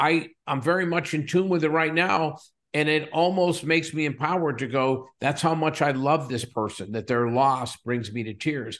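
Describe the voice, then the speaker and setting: A man with an American accent has a plain, everyday voice at a fairly high pitch with ordinary pitch variation. He talks at a moderate pace with hardly any pauses. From Western Pennsylvania, coal town south of Pittsburgh. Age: 60s. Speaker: company CEO. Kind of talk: interview conversation.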